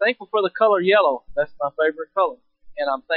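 Plain reading aloud comes with lively intonation over a quiet background.

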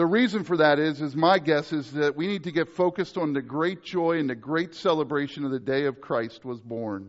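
A man with an unremarkable speaking voice, fairly high pitch, lively intonation and moderate pace. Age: 40s. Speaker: pastor. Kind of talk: sermon. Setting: church.

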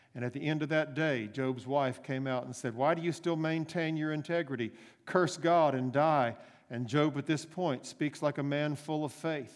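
This man has an unremarkable speaking voice, fairly high for a man, talking at a moderate pace in a very clean recording with a silent background. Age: 60s. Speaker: pastor. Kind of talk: sermon. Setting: church.

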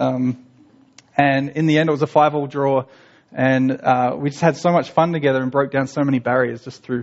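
The speaker is a man with a fairly high pitch. He talks at a moderate pace with fairly even intonation. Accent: Australian. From Australia. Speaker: missionary. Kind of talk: church talk. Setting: church.

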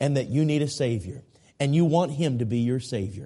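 A man speaks at a medium pitch in a dark, mellow tone that is somewhat breathy. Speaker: traveling evangelist and Bible preacher. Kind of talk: sermon. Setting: church. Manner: earnest, urgent pulpit delivery, direct appeals to the congregation; repetitive, emphatic, halting with restarts and fillers.

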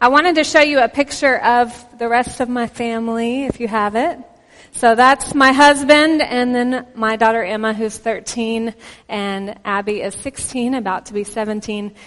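In a Texan accent, a woman talks at a fairly slow pace, her pitch fairly high with ordinary variation. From Texas. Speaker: visiting pastor. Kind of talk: sermon. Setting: church with congregation.

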